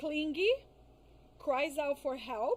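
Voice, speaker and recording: A woman with a non-native accent, high-pitched, very slow, with very wide pitch swings. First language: not English. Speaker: psychologist specializing in crisis and trauma. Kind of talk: podcast interview. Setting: live-streamed podcast. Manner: careful, halting on some words.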